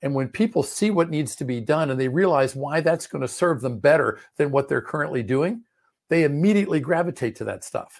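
A plain, everyday voice with an American accent moves at a fairly quick pace with lively intonation. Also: man, fairly high pitch for a man. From Maryland, US (Prince George's County, DC suburbs). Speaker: business coach. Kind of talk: interview.

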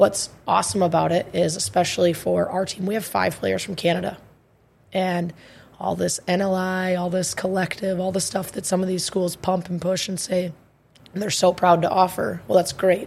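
A woman's somewhat breathy, medium-pitched voice with monotone, flat intonation. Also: moderate pace. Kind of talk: casual chat. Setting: studio.

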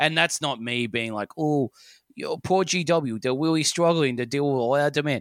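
A man speaks with an Australian accent in a fairly high pitch, with ordinary pitch variation, a moderate pace and a dry, close sound with no echo. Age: 30s. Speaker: podcast host. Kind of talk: casual chat.

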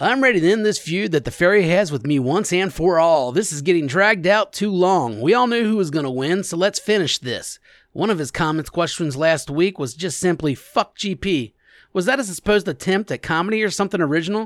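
A man talks at a fairly quick pace in a high voice with lively intonation, recorded very cleanly against a silent background with a dry, close sound and no echo. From US Midwest, Alexandria. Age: 40s. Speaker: podcast co-host. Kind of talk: casual chat.

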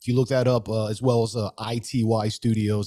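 On a very clean recording with a silent background, a man with an American accent talks at a fairly quick pace in a fairly low pitch with a dark, mellow tone. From Southern California (Los Angeles area). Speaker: podcaster, tattooed chef. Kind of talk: casual chat.

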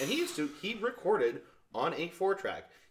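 A man speaks at a moderate pace while noticeable background noise fills the recording. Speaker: podcast co-host. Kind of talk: casual banter podcast.

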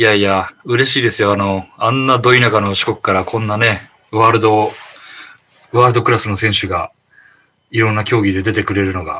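Using a bright, sharp tone, a man speaks at a moderate pace in a fairly low pitch with monotone, flat intonation. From Shikoku, Japan. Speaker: podcast panel regular. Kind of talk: casual chat.

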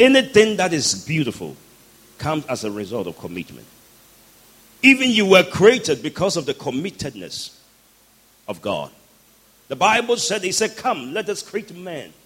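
Over noticeable background noise, a man with a high pitch talks at a moderate pace, with very wide pitch swings, big swings in loudness, and long, frequent pauses. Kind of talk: sermon, preacher in full flow leading prayer and call-and-response with congregation. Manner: animated, fervent, exhorting the crowd with rousing commands; rhythmic and emphatic, pausing for crowd responses.

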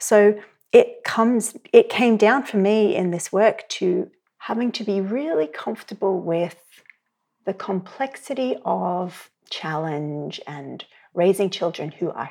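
On a very clean recording with a silent background, a woman speaks at a fairly slow pace in a dark, mellow tone, with lively intonation and big swings in loudness. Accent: Australian. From Australia. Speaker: sex educator and therapist. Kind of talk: interview conversation. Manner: reflective, uses many fillers.

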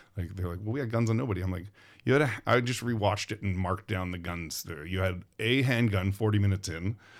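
A man with a Western Canadian accent talks at a very fast pace. His voice is fairly low, with ordinary pitch variation. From Vancouver, Canada. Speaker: film property master. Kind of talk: casual interview. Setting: studio.

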